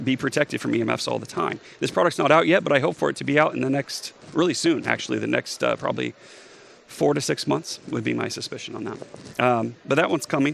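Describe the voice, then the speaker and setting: A man's voice over noticeable background noise. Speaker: health tech entrepreneur. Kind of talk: conference talk. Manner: fast.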